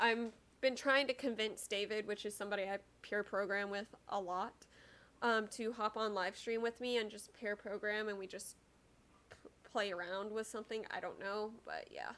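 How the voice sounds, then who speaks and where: Speaking at a moderate pace with an American accent, a woman has a fairly high pitch and fairly even intonation. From Texas. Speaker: programming live streamer. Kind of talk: live stream chat with viewers. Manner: casual, hesitant.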